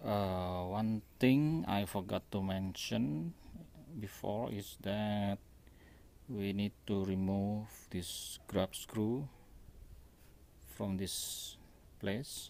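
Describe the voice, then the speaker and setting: A man talks at a very slow pace with long, frequent pauses. His dark, mellow voice has a fairly low pitch, and the sound is dry with no echo. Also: ordinary pitch variation. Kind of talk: tutorial. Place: workshop. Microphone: phone near.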